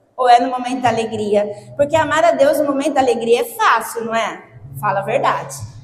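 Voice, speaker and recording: A woman with a Brazilian accent speaks in an animated tone, with audible room echo and noticeable background noise. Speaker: lay preacher. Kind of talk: sermon.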